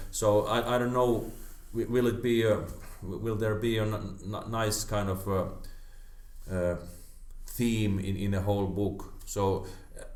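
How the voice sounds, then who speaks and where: The speaker has a Finnish accent and a monotone, flat intonation, going at a fairly slow pace. Long, frequent pauses break up the speech, and room echo is audible. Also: man, fairly low pitch for a man. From Finland. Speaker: karate practitioner. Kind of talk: casual chat. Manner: halting, many repetitions.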